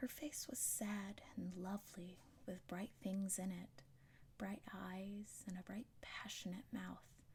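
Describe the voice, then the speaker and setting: A soft-spoken voice at a very slow pace. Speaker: ASMR reader. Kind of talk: audiobook reading.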